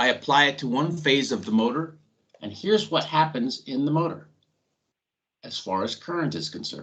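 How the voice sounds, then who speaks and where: Vocal fry runs through this voice, whose pitch varies in an ordinary way. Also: man. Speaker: industrial training instructor. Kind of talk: technical lecture. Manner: slow, deliberate.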